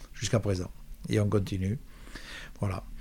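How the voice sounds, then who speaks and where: Fairly quick speech from a man, recorded very cleanly against a silent background. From Provence, France. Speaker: musician and composer. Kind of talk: interview. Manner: halting, repeats words.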